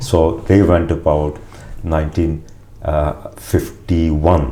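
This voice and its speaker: Noticeable background noise and audible room echo surround a man with a very deep, low voice. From Uganda, East Africa (Punjabi family). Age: 60s. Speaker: interviewee telling family migration history. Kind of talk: oral history interview. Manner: halting, with many fillers and restarts.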